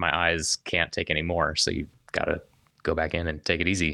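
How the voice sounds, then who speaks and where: Bright and sharp in tone, a man speaks fairly quickly in a General American accent. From Colorado (Denver). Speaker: mountain biker and filmmaker. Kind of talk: casual interview conversation. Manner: halting, many fillers and restarts.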